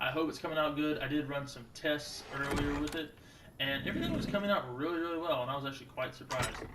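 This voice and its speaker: Amid noticeable background noise and audible room echo, a man with a fairly high pitch speaks at a very fast pace with fairly even intonation. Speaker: gaming youtuber. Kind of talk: gameplay commentary. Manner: casual, joking; loud. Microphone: new cheap twenty dollar mic with pop filter.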